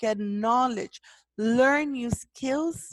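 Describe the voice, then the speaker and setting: Over a quiet background, a woman with a non-native accent speaks at a very slow pace, the sound dry and close with no echo. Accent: foreign accent in English. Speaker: podcast host, leadership movement founder. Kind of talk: motivational talk.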